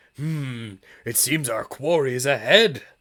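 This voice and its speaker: Quietly and at a fairly slow pace, a man uses a put-on character voice with a fairly high pitch. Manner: hushed.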